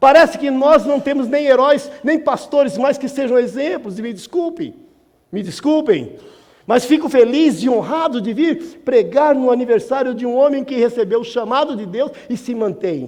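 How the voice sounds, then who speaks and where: Moderate pace and ordinary pitch variation. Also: man, extremely high pitch for a man. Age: 60s. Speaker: guest preacher. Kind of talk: sermon. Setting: church. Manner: conversational, with repetitions and self-corrections.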